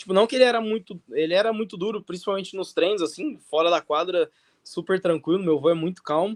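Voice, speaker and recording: The delivery is very fast. There is no echo, and the sound stays dry and close. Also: man, high pitch for a man, ordinary pitch variation. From interior of São Paulo state, Brazil. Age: 20s. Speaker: professional tennis player. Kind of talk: interview.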